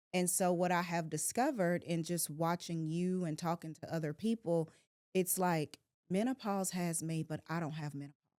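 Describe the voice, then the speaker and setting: A woman with a normal speaking voice talks at a moderate pace and fairly low pitch, with fairly even intonation and a dry, close sound free of echo. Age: 40s. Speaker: podcast host and realtor. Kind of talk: casual chat. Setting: studio.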